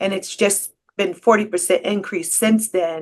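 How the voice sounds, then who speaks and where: A woman speaks with a plain, everyday voice. Her pitch is medium and her intonation fairly even. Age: 60s. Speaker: scam victim and advocate. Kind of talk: testimony.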